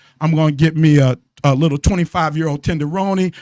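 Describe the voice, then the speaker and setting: Dry and close with no echo, the recording captures a man speaking in an animated tone at a fairly high pitch and fairly quick pace. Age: 60s. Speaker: radio host, marriage coach. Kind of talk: casual radio talk show chat. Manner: animated, repetitive.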